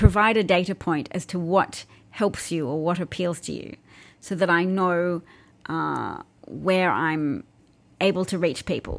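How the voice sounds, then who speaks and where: Speech comes at a fairly slow pace with fairly even intonation. The recording is very clean, against a silent background. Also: woman, fairly low pitch for a woman. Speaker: political commentary livestreamer and podcaster. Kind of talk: livestream political commentary monologue. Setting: live Periscope and YouTube broadcast. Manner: self-described boring vocal tone.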